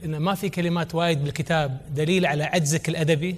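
At a moderate pace, a man with a normal speaking voice talks at fairly high pitch with fairly even intonation. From Kuwait. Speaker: entrepreneur and children's author; guest. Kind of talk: conference talk. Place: hall. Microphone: lapel.

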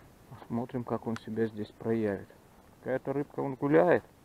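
The man's voice shows ordinary pitch variation, and the sound is dry with no echo. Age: 40s. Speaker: fishing video blogger; angler vlogger. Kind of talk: outdoor vlog narration. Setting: outdoors by a river. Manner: casual, reflective. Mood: nostalgic, relaxed. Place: forest. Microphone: phone near.

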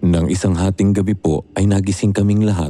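Over noticeable background noise, a man with a very deep, low voice talks at a fairly quick pace. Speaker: narrator. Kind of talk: horror story narration, reading a letter-sender's account aloud. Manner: measured storyteller pace, suspenseful and dramatic, polite.

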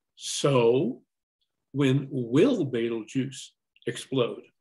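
The man's voice is somewhat breathy, and the background stays quiet. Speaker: event host. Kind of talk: introduction and moderation. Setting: video call. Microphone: webcam.

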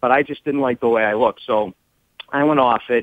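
In a Boston accent, a man talks at a fairly quick pace with fairly even intonation, the sound dry with no echo against a quiet background. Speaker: caller. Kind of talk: phone-in conversation. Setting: phone call. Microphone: phone line.

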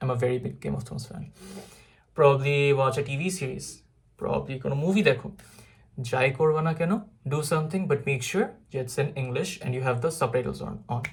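This is a man with a fairly high pitch. His voice is somewhat breathy. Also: ordinary pitch variation. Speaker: IELTS tutor. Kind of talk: tutorial. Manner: low energy.

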